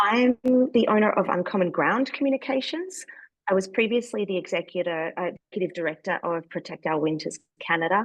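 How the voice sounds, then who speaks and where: With an Australian accent, the speaker uses lively intonation at a fairly quick pace, in a dry, close sound with no echo. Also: woman, medium pitch for a woman. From Australia, Melbourne. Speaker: communications strategist. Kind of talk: online workshop presentation.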